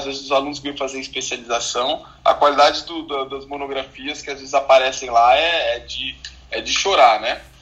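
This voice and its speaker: A man speaks at a fairly quick pace with a fairly high pitch. Noticeable background noise runs underneath. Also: big swings in loudness. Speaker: physician. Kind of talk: casual chat. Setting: Clubhouse audio room.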